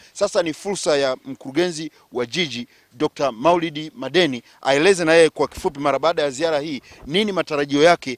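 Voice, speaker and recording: A plain, everyday voice speaks at a fairly quick pace with ordinary pitch variation, in a dry sound with no echo against a quiet background. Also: man. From Tanzania. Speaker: TV presenter. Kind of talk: TV field reporting and interview. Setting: on location around the city. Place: open country. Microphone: handheld.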